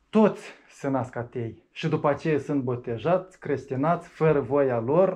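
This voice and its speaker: With an ordinary speaking voice, a man talks with hardly any pauses and ordinary pitch variation against a quiet background. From Moldova. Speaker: atheist activist; interviewee. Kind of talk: interview. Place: meeting room.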